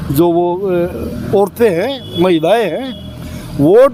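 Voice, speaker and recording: Lively intonation marks a man's speech over noticeable background noise. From Haryana. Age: 60s. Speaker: local resident interviewee. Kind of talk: street interview.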